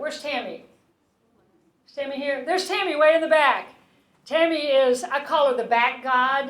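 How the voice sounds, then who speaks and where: Fairly quick speech is heard with audible room echo. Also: woman. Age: 60s. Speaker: physician giving a health talk. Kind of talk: public health talk. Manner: animated.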